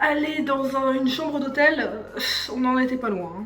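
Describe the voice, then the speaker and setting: A woman speaks at a high pitch with ordinary pitch variation. Music plays in the background, and the room echo is audible. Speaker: YouTuber reviewing cartoon series. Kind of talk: casual vlog commentary. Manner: improvised, spontaneous.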